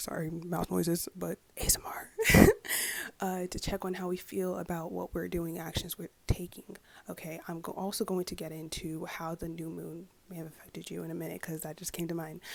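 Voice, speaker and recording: A woman talks at a fairly quick pace with a fairly low pitch and vocal fry. Her intonation is monotone and flat. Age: 20s. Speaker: psychic tarot reader and astrologer. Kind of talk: ASMR astrology forecast to camera. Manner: soft-spoken, casual.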